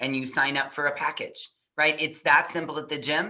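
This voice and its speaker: A woman speaks loudly at a fairly slow pace. Her very deep, low pitch carries a bright, sharp tone. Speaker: parenting coach. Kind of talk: interview.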